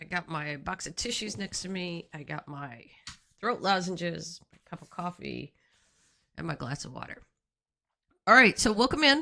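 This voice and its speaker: A woman with a fairly low pitch, a bright, sharp tone and vocal fry speaks at a moderate pace with very wide pitch swings, big swings in loudness and long, frequent pauses. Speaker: gaming streamer. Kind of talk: live game stream commentary. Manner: casual, with fillers and hesitations.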